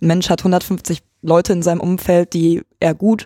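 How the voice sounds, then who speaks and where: A woman speaks in a dark, mellow tone at a fairly low pitch. The sound is dry and close, with no echo. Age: 20s. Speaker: student. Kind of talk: casual discussion. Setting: room with open windows.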